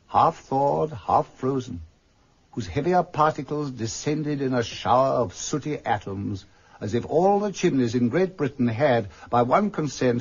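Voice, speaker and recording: Somewhat breathy, a man speaks at a fairly slow pace and medium pitch. His pitch swings very widely. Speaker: actor playing the storyteller and Scrooge, reading Dickens narration. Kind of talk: vintage radio drama narration. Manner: narrative storytelling.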